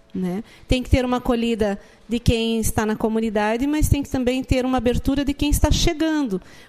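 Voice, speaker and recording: A woman speaks in a fairly high voice with a dark, mellow tone and ordinary pitch variation. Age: 40s. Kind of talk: casual chat.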